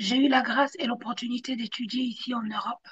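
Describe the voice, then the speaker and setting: This woman has a high-pitched voice. Her pitch moves in an ordinary way. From Belgium (born in Africa, came at five). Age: 30s. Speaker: church servant giving testimony. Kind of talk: testimony. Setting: live stream.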